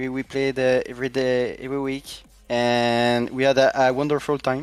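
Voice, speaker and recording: With a non-native accent, this voice keeps to a moderate pace. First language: not English. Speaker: esports team captain. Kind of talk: interview. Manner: halting.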